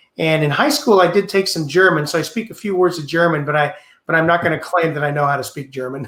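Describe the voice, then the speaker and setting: The speaker talks at a very fast pace with an American accent. Pitch varies in an ordinary way. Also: man, fairly high pitch for a man. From United States. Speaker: astronaut. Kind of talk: Q&A in a webinar.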